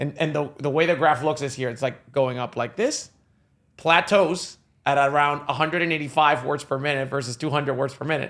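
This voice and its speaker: An animated man with a fairly high pitch talks at a fairly quick pace on a very clean recording with a silent background. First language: not English. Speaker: sales software CEO. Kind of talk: interview podcast. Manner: fast.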